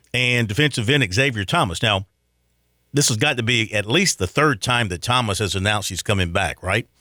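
In a Southern US accent, a man talks with a bright, sharp tone in a dry, close sound with no echo. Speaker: sports radio host. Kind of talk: sports talk radio. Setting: studio.

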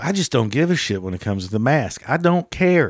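Over a silent background in a very clean recording, a man talks at a moderate pace with very wide pitch swings. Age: 50s. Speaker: podcast host. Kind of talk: casual monologue.

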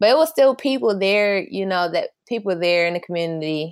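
Recorded very cleanly against a silent background, a normal speaking voice with an American accent moves at a fairly quick pace with lively intonation. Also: woman. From Flint, Michigan. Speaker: fashion designer. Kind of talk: interview.

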